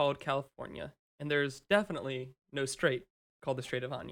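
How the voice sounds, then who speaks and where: A man has an unremarkable speaking voice with a fairly high pitch. He talks at a fairly quick pace. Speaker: podcast co-host. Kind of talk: casual banter podcast.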